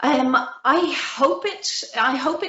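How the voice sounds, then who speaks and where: A woman speaks with a Belfast accent. Her pitch swings very widely. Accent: Belfast Northern Irish. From Northern Ireland, Belfast. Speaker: felt maker, small business owner. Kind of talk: interview.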